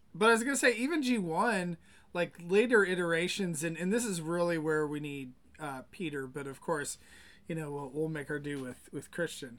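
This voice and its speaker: The intonation is lively. The pace is moderate. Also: man, high pitch for a man. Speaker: podcast host. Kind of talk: casual group chat. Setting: live stream.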